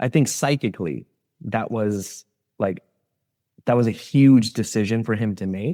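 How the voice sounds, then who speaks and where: A man with an American accent speaks at a fairly slow pace, leaving long, frequent pauses. His tone is dark and mellow, and the sound is dry and close with no echo on a very clean recording with a silent background. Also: medium pitch for a man, ordinary pitch variation. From US, Sikh Punjabi family. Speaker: former aerospace engineer. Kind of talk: interview conversation. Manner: hesitant, many fillers and repetitions.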